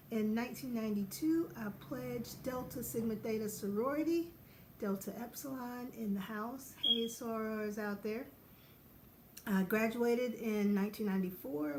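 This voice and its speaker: A woman speaks with an American accent at a fairly high pitch. Her moderate pace carries some audible room echo. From US South, Knoxville, Tennessee. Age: 40s. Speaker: podiatrist and vlogger. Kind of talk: casual vlog.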